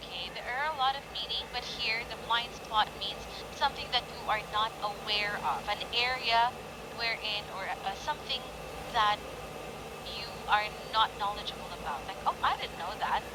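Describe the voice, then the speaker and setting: A woman's fairly high voice at a moderate pace, with ordinary pitch variation and noticeable background noise. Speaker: English teacher. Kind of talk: online English lesson.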